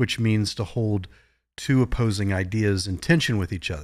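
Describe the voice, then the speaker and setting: With an American accent and fairly even intonation, this is a plain, everyday voice. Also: man, very clean recording, silent background. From Virginia, US (Virginia Beach). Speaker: psychologist. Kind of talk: panel discussion.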